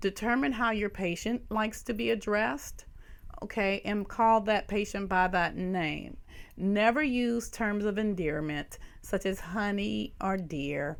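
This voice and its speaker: With a Southern US accent, a woman speaks at a fairly slow pace in a medium pitch. Her pitch varies in an ordinary way, and audible room echo surrounds her voice. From US South. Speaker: nursing professor. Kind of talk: lecture.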